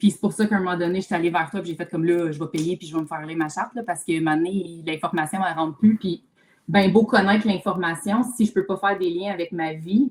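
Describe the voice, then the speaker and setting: A woman speaks at a very fast pace. Her pitch sits fairly low. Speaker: mental load specialist, therapist. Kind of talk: live video chat. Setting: livestream video call. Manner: loud when enthusiastic; animated.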